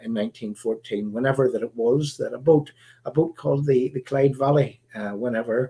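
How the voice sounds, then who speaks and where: A man with a Northern Irish accent, medium pitch, a dark, mellow tone, somewhat breathy delivery, ordinary pitch variation and a fairly quick pace. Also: big swings in loudness. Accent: Northern Irish (Belfast). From Northern Ireland. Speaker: political activist and livestream host. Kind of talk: live stream talk. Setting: live stream broadcast. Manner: halting, many fillers and repeats.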